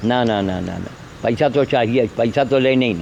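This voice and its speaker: A man's voice with ordinary pitch variation, amid noticeable background noise. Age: 70s. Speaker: animal welfare volunteer and vlogger. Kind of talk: impassioned appeal to viewers. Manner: animated, scolding.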